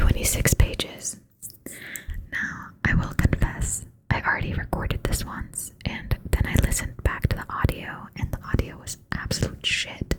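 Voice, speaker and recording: Noticeable background noise fills the recording. Over it, someone is whispering. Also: moderate pace. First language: not English. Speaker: ASMR creator. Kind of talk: ASMR reading aloud with casual chat. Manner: soft-spoken; hesitant, many fillers.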